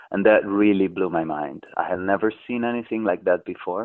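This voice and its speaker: A man with an Italian accent at a moderate pace. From southern Italy, Amalfi Coast. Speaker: artist. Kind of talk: radio interview.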